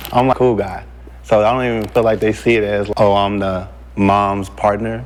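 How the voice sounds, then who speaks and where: Over noticeable background noise, a man speaks at a moderate pace. His voice is fairly low, with ordinary pitch variation. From Texas, Houston. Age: 30s. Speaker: dating show contestant. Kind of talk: casual chat.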